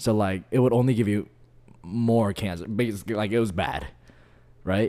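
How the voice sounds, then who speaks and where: This is a man talking. His pitch is fairly low. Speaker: podcast host. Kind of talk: casual chat. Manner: laid-back, casual.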